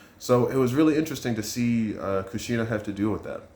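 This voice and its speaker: A man talks at a fairly quick pace in a fairly low pitch. His pitch varies in an ordinary way, and there is audible room echo. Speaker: manga reviewer / youtuber. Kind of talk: casual review monologue. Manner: fast.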